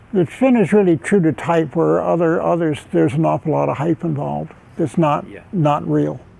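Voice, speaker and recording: A man keeps a moderate pace while noticeable background noise sounds behind him. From United States. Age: 80s+. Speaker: Olympic sailor and sailing coach. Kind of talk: interview answer.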